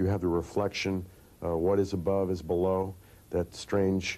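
A man speaks at a moderate pace with a very deep, low pitch. His tone is dark and mellow. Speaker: interviewee. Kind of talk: interview answer. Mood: thoughtful, reflective. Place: studio.

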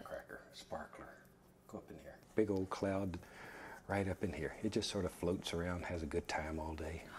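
A man whispers in a soothing tone. His pace is moderate. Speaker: painting instructor on a TV painting show. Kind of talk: calm instructional painting narration. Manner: soft-spoken, soothing, encouraging.

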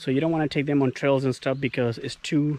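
A man speaks with fairly even intonation in a dry recording with no echo and light background noise. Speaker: dog owner vlogger. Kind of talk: casual vlog chat. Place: forest. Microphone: phone near.

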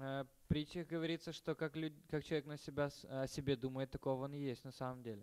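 Very fast pace with fairly even intonation. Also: man, fairly high pitch for a man. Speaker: interpreter. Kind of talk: lecture. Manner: halting.

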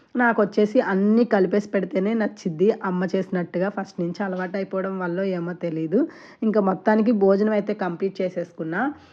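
Her tone is dark and mellow, at a medium pitch. This woman keeps her intonation fairly even. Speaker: vlogger. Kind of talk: casual vlog narration.

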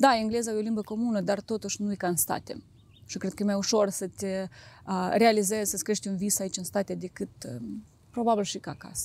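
A woman talks at a medium pitch with ordinary pitch variation. Her fairly quick speech sounds dry, with no echo. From Moldova, Chișinău; Moldova. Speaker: real estate agent; guest. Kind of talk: interview. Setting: outdoors. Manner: halting.

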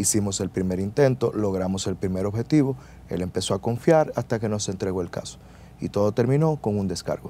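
Fairly quick and with lively intonation, a man with a Dominican accent speaks in a fairly low pitch and a dark, mellow tone, in a dry sound with no echo and light background noise. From Dominican Republic. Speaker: lawyer. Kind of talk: interview. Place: studio. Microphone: lapel.

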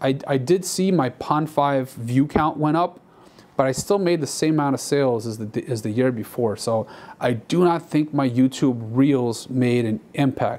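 The pitch of this man shows ordinary variation. He speaks at a moderate pace. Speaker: stock footage creator. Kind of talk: casual vlog chat. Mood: reflective, mildly disappointed. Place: studio. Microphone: lapel.

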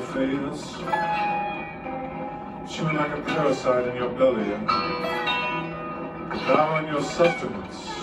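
A man with an American accent at a fairly slow pace over loud background noise. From United States. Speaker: poet. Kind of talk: spoken word poetry performance. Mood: dark, intense. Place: hall.

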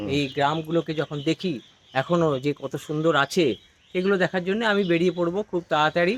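A man with a high pitch and ordinary pitch variation is recorded with a dry, close sound and no echo. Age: 60s. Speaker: retired government employee and gardener. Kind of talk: casual interview.

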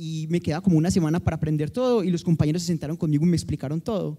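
The man's pitch is high. His tone is dark and mellow. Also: quiet background. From Colombia, Medellín. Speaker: mathematics professor. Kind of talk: panel discussion. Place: hall. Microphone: handheld.

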